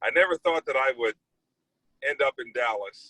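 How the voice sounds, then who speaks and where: A man talks at a moderate pace. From US Midwest, East St. Louis, Illinois. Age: 40s. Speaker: TV news anchor. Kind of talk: casual talk to students about his career. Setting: video call.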